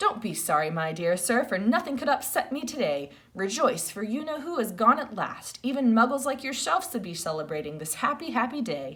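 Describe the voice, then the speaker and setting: A female-sounding, put-on character voice, squeaky and high in pitch, swings very widely up and down. It moves at a fairly quick pace with hardly any pauses. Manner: joyful, gleeful.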